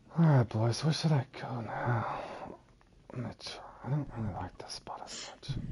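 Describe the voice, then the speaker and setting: Whispering with big swings in loudness, a man speaks with long, frequent pauses. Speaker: video game streamer. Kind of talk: live gameplay commentary. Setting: live stream with voice party. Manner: fast, sometimes mumbling; casual, chatty.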